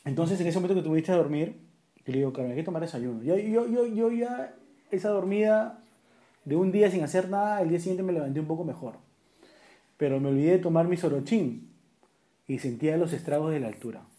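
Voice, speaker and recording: With a dark, mellow tone and a high pitch, a man talks at a fairly quick pace, his intonation lively and broken by long, frequent pauses. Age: 30s. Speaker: podcast co-host. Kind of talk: casual chat.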